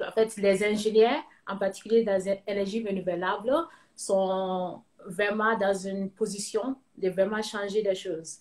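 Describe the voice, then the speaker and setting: Speaking at a fairly slow pace with a Ghanaian accent, a woman keeps a medium pitch and fairly even intonation. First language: English (speaking French). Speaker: cosmetics entrepreneur, engineer. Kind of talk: interview. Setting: live video call. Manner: halting, many fillers.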